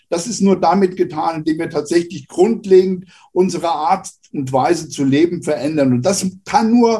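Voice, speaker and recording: A man's voice sits at a high pitch with ordinary variation and a dark, mellow tone. His pace is moderate. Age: 70s. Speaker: retired sociology professor. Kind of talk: podcast interview.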